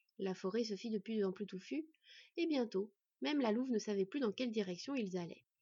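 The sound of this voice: An unforced voice reads aloud against a quiet background.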